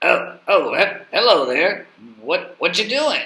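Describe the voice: A man speaks at a fairly slow pace in a cartoonish character voice.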